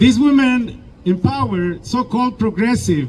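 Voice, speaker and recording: A man at a moderate pace, his pitch swinging very widely, with noticeable background noise. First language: not English (English is third language). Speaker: activist speaker at a rally. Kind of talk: protest speech. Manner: halting.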